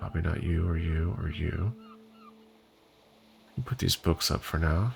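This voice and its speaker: Over background music, a soft-spoken voice with a relaxed tone moves at a fairly slow pace. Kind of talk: casual gaming commentary for sleep. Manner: soft-spoken, relaxed.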